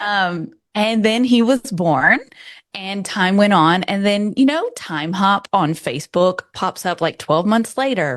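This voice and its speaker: In a Southern US accent, a woman talks fairly slowly with lively intonation against a quiet background. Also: medium pitch for a woman. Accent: American Southern. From US South, New Orleans. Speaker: birth photographer. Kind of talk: interview.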